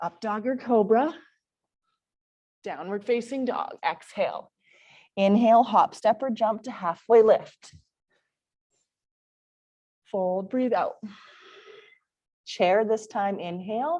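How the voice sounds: A woman at medium pitch, slightly mellow in tone, with ordinary pitch variation, a slow pace and long, frequent pauses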